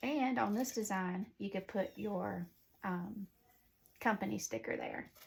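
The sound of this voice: Speaking at a fairly slow pace in a Southern US accent, a woman has vocal fry, a slightly mellow tone and a slightly husky edge. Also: medium pitch for a woman, ordinary pitch variation.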